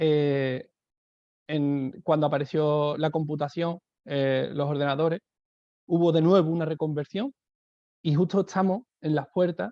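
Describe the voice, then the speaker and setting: In a southern Spanish accent, a man with a fairly high pitch and a dark, mellow tone speaks at a fairly slow pace with ordinary pitch variation and long, frequent pauses, the sound dry and close with no echo. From southern Spain. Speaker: education speaker, teacher. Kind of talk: webinar talk. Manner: hesitant, many fillers.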